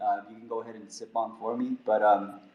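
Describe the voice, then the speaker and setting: Fairly quick male speech against noticeable background noise. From California. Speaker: podcast host. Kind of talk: casual chat.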